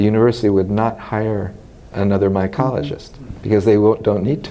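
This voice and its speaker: A man with an American accent and a fairly low pitch, amid noticeable background noise. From US West Coast, Los Angeles. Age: 60s. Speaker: retired mycology professor. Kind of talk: oral history interview. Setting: scientific congress. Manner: hesitant, many fillers.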